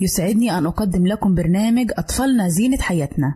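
A woman speaks at a moderate pace with an Egyptian accent and very wide pitch swings. Her tone is dark and mellow, and somewhat breathy. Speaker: radio program presenter. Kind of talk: scripted radio talk on parenting.

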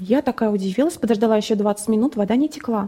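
A woman at a fairly quick pace. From Russia, Nizhny Novgorod region. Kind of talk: testimony. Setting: studio.

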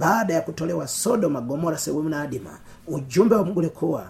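A man speaks at a fairly quick pace. There is noticeable background noise and audible room echo. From Tanzania, Pwani region. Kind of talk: sermon.

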